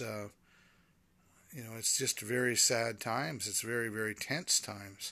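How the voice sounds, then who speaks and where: This man has a bright, sharp tone and fairly even intonation. The recording is very clean, with a silent background. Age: 60s. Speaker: podcast host. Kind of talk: personal monologue. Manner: halting.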